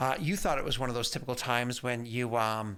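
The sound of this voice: An unforced reading voice delivers the words with fairly even intonation.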